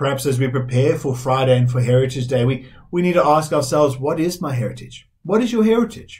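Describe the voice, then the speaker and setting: At a very fast pace with hardly any pauses, a somewhat breathy voice talks with ordinary pitch variation against a quiet background. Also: man, fairly high pitch for a man. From South Africa. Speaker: Methodist minister. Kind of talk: sermon. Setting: recorded online church service. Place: home room.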